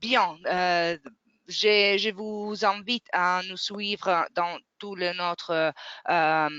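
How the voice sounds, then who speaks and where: At a very slow pace, a woman with a non-native accent speaks with fairly even intonation. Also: medium pitch for a woman. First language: not French (speaking French). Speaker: webinar moderator. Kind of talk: webinar closing remarks. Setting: online webinar. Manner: halting, many hesitations.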